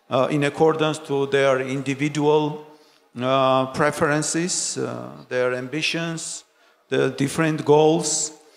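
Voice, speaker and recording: A man with a Georgian accent, fairly even intonation and a very slow pace. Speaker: foreign minister. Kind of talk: panel discussion. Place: stage. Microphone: handheld.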